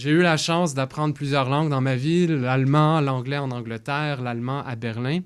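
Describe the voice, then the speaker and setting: In a very clean recording with a silent background, a man speaks at a moderate pace in an ordinary speaking voice, medium in pitch with ordinary pitch variation. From Quebec, Longueuil. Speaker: political candidate. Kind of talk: candidate debate statement. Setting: radio studio.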